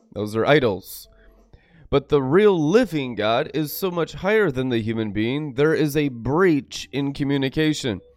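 Music plays behind a man with a fairly high voice. He speaks fairly slowly in an animated tone. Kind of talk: sermon. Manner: animated, preachy.

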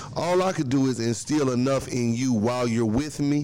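This man has a normal speaking voice with ordinary pitch variation. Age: 30s. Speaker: small business owner. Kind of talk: casual chat.

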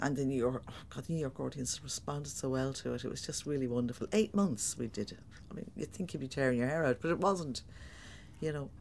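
A woman's very deep, low voice with vocal fry, in a Dublin accent, with lively intonation and a very fast pace. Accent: Dublin Irish. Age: 60s. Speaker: stage actor. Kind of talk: interview. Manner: animated.

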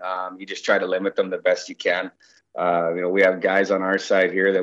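A man with a fairly low pitch and a western Canadian accent speaks against a quiet background. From Canada, Victoria BC (Vancouver Island). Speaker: junior hockey coach. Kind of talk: interview.

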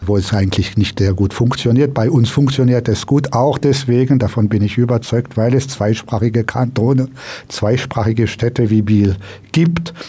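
Speaking at a fairly slow pace, a man with a French accent uses a medium pitch and ordinary pitch variation. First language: French (speaking German). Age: 50s. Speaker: politician. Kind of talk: radio interview. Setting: studio.

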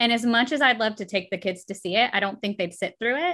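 In a very clean recording with a silent background, a woman talks at a fairly quick pace in a high pitch, with a bright, sharp tone and lively intonation. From US South. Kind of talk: casual chat.

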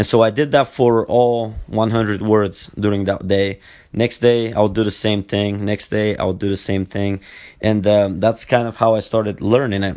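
In a fairly low voice, a man talks at a moderate pace with monotone, flat intonation. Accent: Bulgarian. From Bulgaria. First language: Bulgarian. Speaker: podcast host, former Olympic wrestler. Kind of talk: solo podcast monologue. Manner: halting, many fillers and repetitions.

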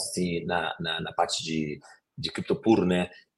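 This man speaks with a slight Rio de Janeiro accent. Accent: slight carioca. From Rio de Janeiro, Brazil. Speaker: fintech executive. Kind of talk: interview. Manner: halting.

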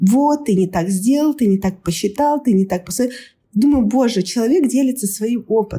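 Somewhat breathy and fairly high in pitch, a woman speaks at a moderate pace with lively intonation and very even loudness. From Kazakhstan, Almaty. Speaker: scrum master. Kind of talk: casual chat.

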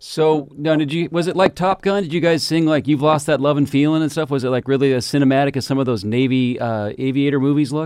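A man with an American accent talks at a very fast pace with hardly any pauses. His pitch varies in an ordinary way. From Washington State, Seattle area. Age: 50s. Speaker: community radio history host. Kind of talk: live radio interview. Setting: radio studio.

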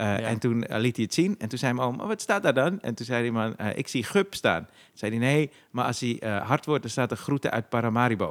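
This man talks at a fairly quick pace in a normal speaking voice, medium in pitch, with lively intonation. The sound is dry and close with no echo, on a very clean recording with a silent background. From Zaandam, Netherlands (Poelenburg). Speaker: comedian and podcast host. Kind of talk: casual chat.

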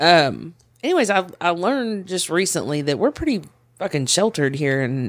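An unremarkable speaking voice with an American accent, lively intonation and a moderate pace, in a very clean recording with a silent background. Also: man. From Tulsa, Oklahoma. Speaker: podcast guest. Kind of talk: casual chat.

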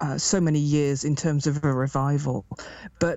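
A woman speaks with an English Midlands accent. Her pace is fairly slow. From England, Derby. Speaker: druid priestess and chaplain. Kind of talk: casual interview.

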